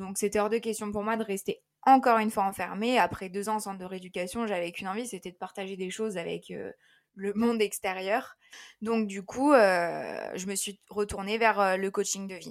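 A woman at a medium pitch with fairly even intonation, big swings in loudness and a moderate pace, in a very clean recording with a silent background. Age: 20s. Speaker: life coach. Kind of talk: interview. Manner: hesitant, many fillers.

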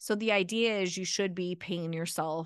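With a plain, everyday voice and a General American accent, the speaker talks at a moderate pace with ordinary pitch variation against a quiet background. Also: woman. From Arizona. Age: 40s. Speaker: attorney. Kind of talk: interview.

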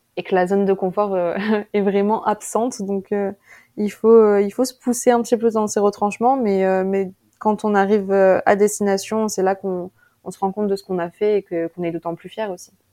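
Against a quiet background, a woman speaks at a medium pitch with a dark, mellow tone. Her intonation is fairly even and her pace fairly slow. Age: 20s. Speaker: student cyclist adventurer. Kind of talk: interview, personal story. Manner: hesitant, with many fillers.

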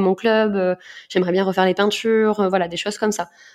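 Fairly quick, monotone, flat delivery from a woman at medium pitch, over a quiet background. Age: 30s. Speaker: marketing director. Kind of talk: interview.

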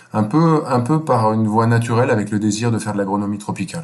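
Audible room echo surrounds a man speaking with a fairly low pitch and ordinary pitch variation. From France, Normandy. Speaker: NGO chief executive. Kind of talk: interview. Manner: hesitant, many fillers and repetitions.

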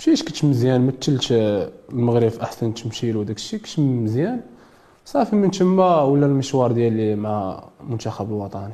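A man at a medium pitch uses an ordinary speaking voice with lively intonation, keeping a moderate pace. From Morocco, Casablanca. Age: 20s. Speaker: boxer. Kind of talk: interview.

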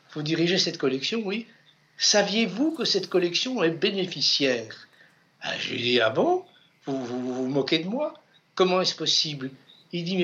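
Speaking at a fairly slow pace, a man with a high pitch has lively intonation and a bright, sharp tone. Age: 70s. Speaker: book editor and author. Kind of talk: interview. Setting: bookshop. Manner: halting.

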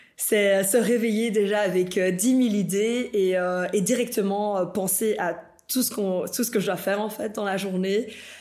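At a fairly slow pace, a woman speaks at medium pitch with fairly even intonation. Audible room echo surrounds her voice. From Bolivia, moved to Belgium at 13. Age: 20s. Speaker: fashion designer. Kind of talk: casual interview. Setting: designer's workshop.

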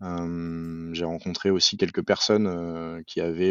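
In a very deep, low voice, a man talks at a fairly slow pace. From Paris suburbs, France. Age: 30s. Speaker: climate and mobility consultant, engineer. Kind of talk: podcast interview.

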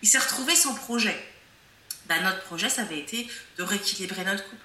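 A woman at a moderate pace with ordinary pitch variation, noticeable background noise and audible room echo. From France, of African heritage. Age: 30s. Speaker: psychopractitioner and coach. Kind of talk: casual interview chat.

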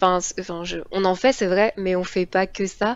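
A woman's medium-pitched voice stays monotone and flat at a moderate speed. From Paris region. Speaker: engineering student. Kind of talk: interview.

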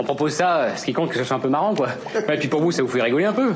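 Noticeable background noise sits behind words delivered at a very fast pace. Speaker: satirical sketch performer. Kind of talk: satirical ad parody, pitchy sales voice.

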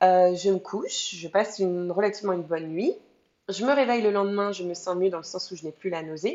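With a plain, everyday voice at medium pitch, a woman talks at a fairly quick pace, her intonation fairly even but her loudness swinging widely. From France. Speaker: mother sharing birth story. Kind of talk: testimony.

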